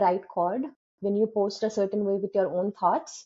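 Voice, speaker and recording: A woman at a moderate pace. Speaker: food safety compliance specialist. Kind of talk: podcast interview. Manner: articulate.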